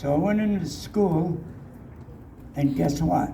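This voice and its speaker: There is audible room echo and noticeable background noise as the speaker talks at a moderate pace with lively intonation. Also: man. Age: 80s+. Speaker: residential school survivor. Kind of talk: testimony. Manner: halting.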